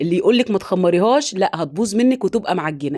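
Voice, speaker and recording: A woman's dark, mellow voice at a medium pitch, with lively intonation at a fairly quick pace. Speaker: home cooking channel host. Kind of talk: cooking tutorial. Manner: chatty, direct to viewers.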